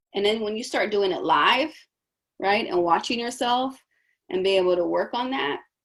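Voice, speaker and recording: A loud, animated woman's voice at medium pitch, fairly quick pace, very clean recording with a silent background. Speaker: coach. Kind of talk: coaching session.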